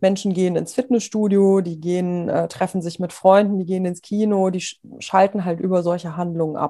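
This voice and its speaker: A woman with a dark, mellow tone speaks at a moderate pace and medium pitch, her intonation fairly even against a quiet background. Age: 30s. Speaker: sports psychologist. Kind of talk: interview. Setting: remote call.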